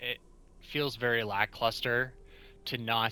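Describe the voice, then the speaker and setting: A man's bright, sharp tone at a very slow pace. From Canada (Ontario). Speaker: gaming YouTuber. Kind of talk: gameplay commentary. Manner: casual, conversational.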